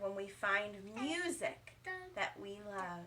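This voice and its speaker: A woman's put-on character voice at a medium pitch, very slow pace and lively intonation, with clear background noise. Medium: read story.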